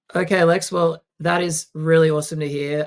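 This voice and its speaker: A man with an Australian accent and fairly even intonation. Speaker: podcast host. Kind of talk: interview conversation.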